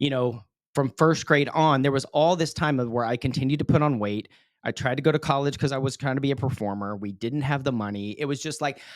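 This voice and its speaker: A man's very fast, medium-pitched speech, with ordinary pitch variation, on a very clean recording with a silent background. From West Texas. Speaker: public speaker and emcee. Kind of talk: podcast interview, personal story.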